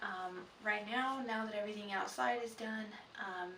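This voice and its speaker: Quiet and at a medium pitch, a woman speaks with ordinary pitch variation, audible room echo and noticeable background noise. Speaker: vlogger, prospective foster parent. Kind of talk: casual vlog. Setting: indoors at home at night. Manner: quiet, hushed; hesitant, many fillers.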